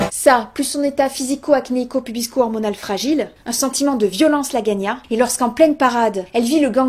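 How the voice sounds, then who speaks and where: A woman with a high voice speaks at a fairly quick pace in a playful, serious tone, with ordinary pitch variation. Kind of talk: comedic storytelling chronicle on local radio. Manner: playful, mock-serious, storytelling.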